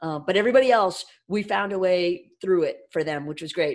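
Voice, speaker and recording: A woman's normal speaking voice, fairly low in pitch, at a moderate pace on a very clean recording with a silent background. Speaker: business owner. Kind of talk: casual interview.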